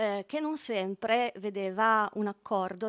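A woman of medium pitch with ordinary pitch variation speaks in an unremarkable speaking voice over a quiet background. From Italy. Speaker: study centre president. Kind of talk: formal event introduction. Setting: stage with audience. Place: hall. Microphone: podium.

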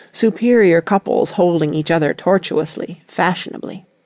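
A normal speaking voice from a woman, fairly low in pitch, at a moderate pace with ordinary pitch variation. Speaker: ASMR reader. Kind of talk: bedtime story audiobook reading. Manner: calm narration.

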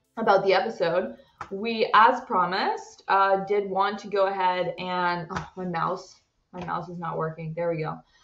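Fairly even intonation and a moderate pace come through audible room echo. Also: woman. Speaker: co-host. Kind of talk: casual vlog chat. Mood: relaxed, cheerful. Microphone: webcam.

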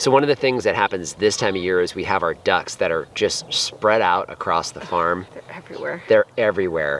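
A man talks at a moderate pace, with a dry sound with no echo and light background noise. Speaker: farm vlogger. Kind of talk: casual vlog chat. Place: garden.

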